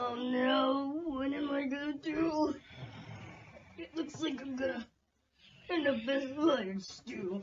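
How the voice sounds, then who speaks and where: A female-sounding, cartoonish character voice with a high pitch. It moves at a fairly slow pace with long, frequent pauses. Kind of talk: comic cartoon overacting. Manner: goofy, excitable.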